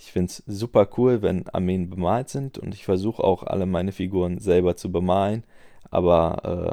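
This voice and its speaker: A man's very deep, low voice with a dark, mellow tone, ordinary pitch variation and a moderate pace. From Germany, Aachen. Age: 20s. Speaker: podcast host, tabletop gamer. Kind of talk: solo podcast monologue. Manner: filler-heavy (äh, ähm).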